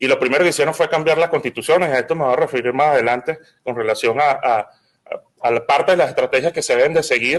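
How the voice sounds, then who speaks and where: Very fast speech from a man with a Venezuelan accent, at a fairly high pitch. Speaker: lawyer and political activist. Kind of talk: symposium panel talk. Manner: halting, frequent repetitions.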